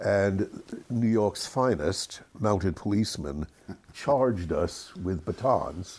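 A man with an American accent, fairly low in pitch, with lively intonation, very even loudness and a very slow pace. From England, raised in the USA. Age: 80s+. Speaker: screenwriter. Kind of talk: interview answer.

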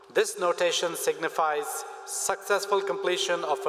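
A man talks, and noticeable background noise can be heard throughout. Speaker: provost. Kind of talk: formal ceremonial announcements. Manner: formal, measured.

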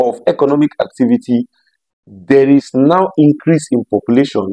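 The man's tone is dark and mellow. He speaks at a moderate pace over a quiet background. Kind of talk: promotional talk to camera. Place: home room. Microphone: lapel.

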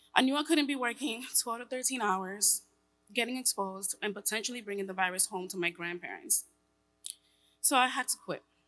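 A bright, sharp tone in a New York accent comes at a fairly quick pace. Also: woman. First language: Spanish. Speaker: tech worker and single mother. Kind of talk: personal testimony speech. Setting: stage with audience. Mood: earnest, reflective. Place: hall. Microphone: podium.

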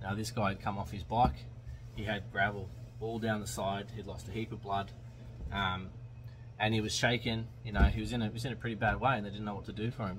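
A man speaks very fast at a fairly low pitch, with vocal fry, ordinary pitch variation and light background noise. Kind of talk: casual vlog chat, storytelling. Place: car. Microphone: phone near.

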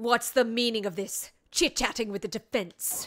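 In a put-on character voice, a woman growls at a fairly high pitch, keeping a moderate pace and ordinary pitch variation. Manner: scary, stern, scolding.

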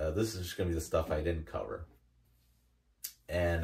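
The background stays quiet. Against it, a man speaks with a somewhat breathy voice. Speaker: hobby vlogger. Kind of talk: casual vlog chat. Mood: cheerful, laughing. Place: home room.

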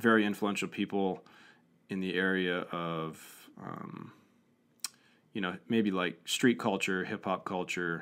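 A man with an American accent, low pitch and a clear, smooth tone, at a slow pace with ordinary pitch variation. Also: very clean recording, silent background.

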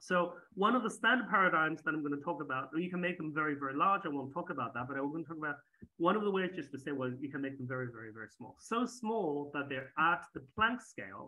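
A man talks at a very fast pace with a quiet background behind him. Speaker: lecturer at summer school. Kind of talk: lecture. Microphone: video call.

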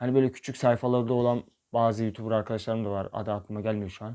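Over a silent background in a very clean recording, a man talks in a monotone, flat intonation with a dark, mellow tone. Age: 20s. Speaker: YouTuber. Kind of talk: vlog monologue.

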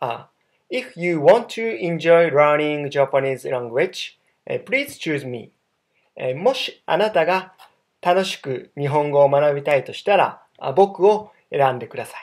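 A fairly high-pitched man talks at a very slow pace with long, frequent pauses and lively intonation. His loudness swings widely over a quiet background. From Japan, Kobe; Japan. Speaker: online language tutor. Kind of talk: self-introduction video. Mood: friendly, smiling. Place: home room. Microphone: webcam.

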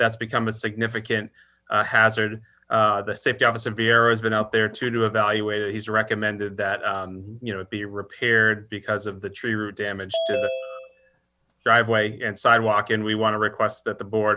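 Speaking with an American accent, this man has a fairly low pitch, a bright, sharp tone and monotone, flat intonation at a fairly quick pace. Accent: Worcester accent, comes back when late. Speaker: town administrator. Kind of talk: public meeting discussion. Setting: virtual meeting.

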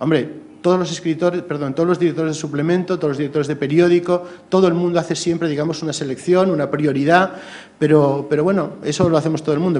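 Here a man talks at a very fast pace with fairly high pitch. His intonation stays fairly even. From Galicia, Spain (A Coruña); Galicia, Spain. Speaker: cultural journalist. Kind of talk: talk at a seminar. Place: hall. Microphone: podium.

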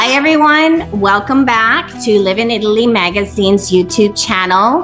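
Clear music sits in the background as a woman speaks at a moderate pace. Her pitch is fairly high and her intonation lively. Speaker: interview host. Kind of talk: podcast interview. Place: home room. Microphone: video call.

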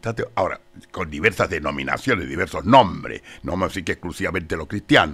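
A man talks at a very fast pace with lively intonation. His pitch is very deep and low, with vocal fry. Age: 80s+. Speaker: theologian and lawyer; guest. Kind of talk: radio interview. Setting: radio studio. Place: studio. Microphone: studio mic.

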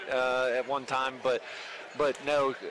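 Flat and monotone, a man talks over noticeable background noise in a dry recording with no echo. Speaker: basketball coach. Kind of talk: interview answer. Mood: pleased, relaxed after win. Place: hall. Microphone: headset.

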